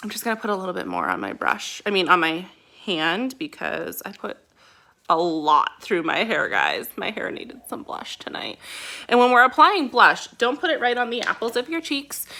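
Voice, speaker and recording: A woman talks at a moderate pace in an animated tone, her loudness swinging widely. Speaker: beauty product distributor. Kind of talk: makeup tutorial.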